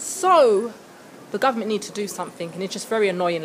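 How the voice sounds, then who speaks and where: A woman with a British accent speaks very fast in an animated tone, her fairly high pitch showing ordinary variation against noticeable background noise. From England, London. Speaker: vlogger. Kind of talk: casual vlog to camera.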